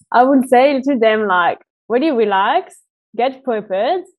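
A woman's fairly high voice in a French accent at a moderate pace. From France. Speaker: diabetes travel organization founder. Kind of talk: interview.

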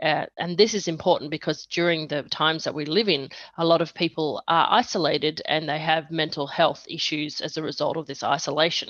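A woman speaks with a very deep, low pitch and fairly even intonation. She barely pauses at all. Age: 40s. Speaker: sound healer. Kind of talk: interview. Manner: hesitant with fillers.

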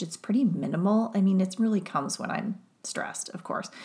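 Speaking with an American accent, a woman sounds somewhat breathy. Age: 40s. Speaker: psychologist turned wellness mentor. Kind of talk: solo podcast monologue.

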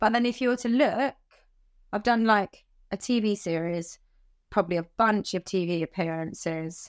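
Speaking in a southern English accent, a woman moves at a moderate pace with lively intonation and long, frequent pauses, on a very clean recording with a silent background. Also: medium pitch for a woman. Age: 30s. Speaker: animal trainer. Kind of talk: interview.

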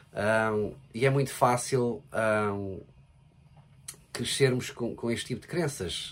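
Pitched in the medium range, a man with a European Portuguese accent speaks with ordinary pitch variation. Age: 40s. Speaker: podcast co-host with his partner. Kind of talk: casual chat.

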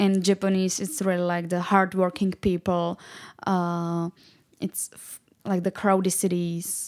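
A woman with a Czech accent at a medium pitch, fairly slow and monotone, flat in intonation, on a very clean recording with a silent background. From Czech Republic. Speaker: marketing and finance specialist. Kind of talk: English lesson conversation. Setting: studio. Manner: halting.

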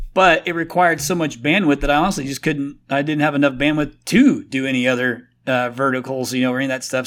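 An unremarkable speaking voice from a man, fairly high in pitch, with ordinary pitch variation, on a very clean recording with a silent background. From Indiana, US Midwest. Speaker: agency founder and CEO. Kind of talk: interview. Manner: casual, filler-heavy.

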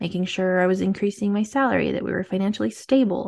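Very fast speech with vocal fry against a quiet background. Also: woman. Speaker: fertility coach and podcast host. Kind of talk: personal storytelling monologue. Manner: warm, conversational.

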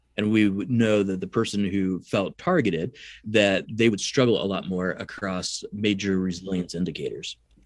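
Here a man talks with fairly low pitch and fairly even intonation in an unremarkable speaking voice. The recording is very clean, the background silent. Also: moderate pace, hardly any pauses. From US Midwest, rural southern Illinois. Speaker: psychology professor and researcher. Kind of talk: interview.

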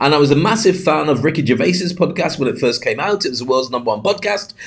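The speaker is a man with a British accent. His intonation is lively. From UK. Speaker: podcast host and speaking coach, ex radio journalist. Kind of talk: solo podcast monologue.

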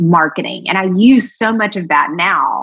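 Speaking in an American accent, a woman with vocal fry and a medium pitch uses lively intonation at a moderate pace. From US South, Georgia. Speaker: marketing strategist. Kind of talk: casual interview chat.

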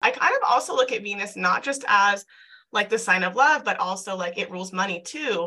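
Fairly quick speech from a woman at a medium pitch. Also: ordinary pitch variation. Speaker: podcast host and self love coach. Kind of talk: casual chat. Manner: fast.

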